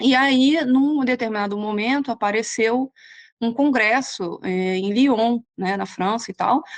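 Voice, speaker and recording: Speaking in a Rio de Janeiro accent, a woman uses a fairly high pitch and ordinary pitch variation. Her pace is very slow, over a quiet background. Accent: Carioca Brazilian Portuguese. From Brazil, Rio de Janeiro. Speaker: nutritionist. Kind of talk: interview. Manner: hesitant, many fillers.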